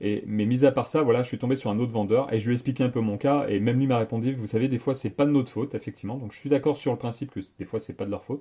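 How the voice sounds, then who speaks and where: A man at medium pitch with a dark, mellow tone, very fast with hardly any pauses, fairly even intonation and big swings in loudness. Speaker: tech YouTuber. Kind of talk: casual vlog monologue. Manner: hesitant, many fillers.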